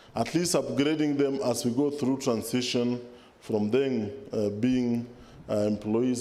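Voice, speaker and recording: The voice has a dark, mellow tone with ordinary pitch variation, going at a moderate pace amid audible room echo. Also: man, very even loudness. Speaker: government official. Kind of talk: formal speech. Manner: formal.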